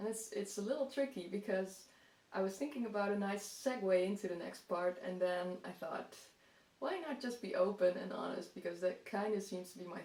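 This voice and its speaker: Over noticeable background noise, a woman speaks with a Dutch accent. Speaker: gardening vlogger. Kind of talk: casual vlog talk.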